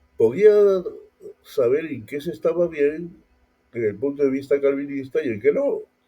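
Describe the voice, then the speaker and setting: A fairly slow voice with a dark, mellow tone and ordinary pitch variation. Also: man. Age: 60s. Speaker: pastor. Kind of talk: casual talk. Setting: audio podcast. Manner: halting.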